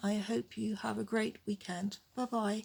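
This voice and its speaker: A woman speaks in a medium pitch at a very slow pace. Her voice is somewhat breathy. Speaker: vlogger with chronic illness. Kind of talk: personal vlog monologue.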